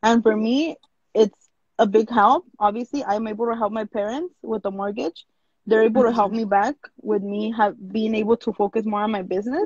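In a dry recording with no echo and a quiet background, a woman with a fairly high, somewhat breathy voice speaks at a moderate pace with fairly even intonation. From Los Angeles, California, Mexican-American family from Jalisco; California. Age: 20s. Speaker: small business owner; interview guest. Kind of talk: interview. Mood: candid, relaxed storytelling. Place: home room. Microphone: video call.

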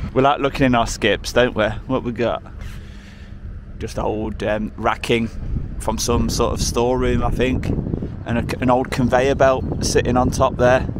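The speech moves at a moderate pace with long, frequent pauses, in a dry sound with no echo over loud background noise. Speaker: urban explorer vlogger. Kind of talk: casual vlog commentary. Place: street. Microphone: phone near.

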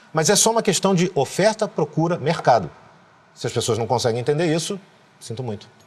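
This man talks at a fairly quick pace. His fairly high pitch goes through very wide swings. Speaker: voice actor and dubbing director. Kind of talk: interview answer. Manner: casual, frank. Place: studio. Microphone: lapel.

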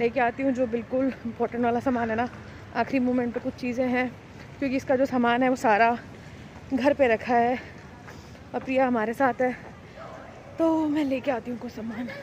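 A woman speaks in a high voice at a moderate pace over light background noise. Her delivery is flat and monotone, broken by long, frequent pauses. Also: dry sound with no echo. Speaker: family vlogger. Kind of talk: casual vlog chat. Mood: hurried, slightly anxious.

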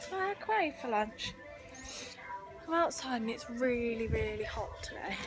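A woman's raised, projected voice at a moderate pace, with music in the background. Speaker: vlogger. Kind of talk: casual vlog chat. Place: garden. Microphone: phone near.

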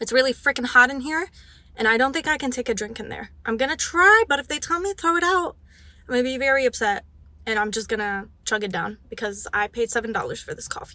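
A woman speaks very fast in a high voice, the sound dry with no echo. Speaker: book vlogger. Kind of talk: casual vlog chat. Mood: excited, chatty. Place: car. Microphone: handheld.

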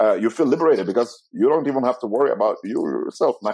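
A man talks at a very fast pace with fairly high pitch and lively intonation. The background is quiet. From Italy. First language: Italian. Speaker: business professional; podcast guest. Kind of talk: interview. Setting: video call. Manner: talkative. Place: home room. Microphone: earbuds.

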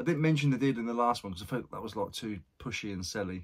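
Against a quiet background, a man talks at a very fast pace with lively intonation. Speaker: online reseller vlogger. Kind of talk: casual vlog chat. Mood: upbeat, joking. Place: home room.

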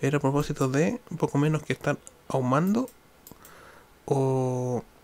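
In a Chilean accent, a man talks at a fairly slow pace with fairly even intonation. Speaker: podcaster. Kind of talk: solo monologue. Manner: halting.

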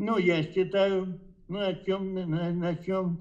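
Against a quiet background, a man speaks in a high pitch. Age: 80s+. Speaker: chess grandmaster. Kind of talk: interview answer. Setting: phone line. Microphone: video call.

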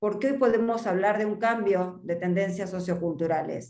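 A woman at a fairly quick pace with ordinary pitch variation, audible room echo and a quiet background. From Argentina. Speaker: market research consultant. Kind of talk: presentation. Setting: video call. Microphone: video call.

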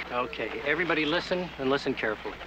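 There's noticeable background noise behind a man whose voice sounds dry, with no echo. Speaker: dive instructor. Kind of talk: film dialogue, stern instruction to group. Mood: stern, warning. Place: beach.

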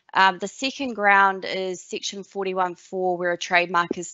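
Over a quiet background, a woman with a normal speaking voice talks fairly slowly, her pitch fairly low and her intonation fairly even. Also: dry sound with no echo. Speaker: trademark attorney. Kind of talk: webinar presentation. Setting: online webinar. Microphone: webcam.

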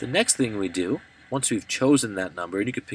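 A man speaks in an ordinary speaking voice, fairly low in pitch with ordinary pitch variation. The sound is dry with no echo. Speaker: math teacher. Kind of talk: tutorial.

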